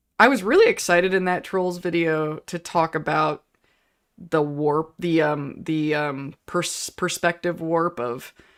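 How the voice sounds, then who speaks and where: A woman with an American accent speaks loudly at a very deep, low pitch on a very clean recording with a silent background. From Pittsburgh, US. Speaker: YouTuber. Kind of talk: casual livestream chat. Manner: halting, many fillers.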